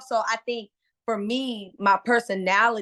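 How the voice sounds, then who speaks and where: A woman with an American accent has a bright, sharp tone and ordinary pitch variation. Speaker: comedian. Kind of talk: casual interview. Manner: loud; animated.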